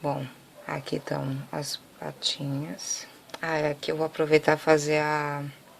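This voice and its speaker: Soft-spoken and fairly slow, a woman talks at a very deep, low pitch with monotone, flat intonation. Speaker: craft tutorial maker. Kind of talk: tutorial.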